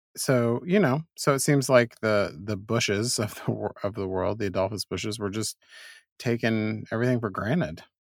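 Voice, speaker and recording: A man with a normal speaking voice at a medium pitch, ordinary pitch variation and moderate pace, in a dry, close sound with no echo and a very clean recording with a silent background. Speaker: co-host. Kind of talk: casual banter. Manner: joking, laughs a lot.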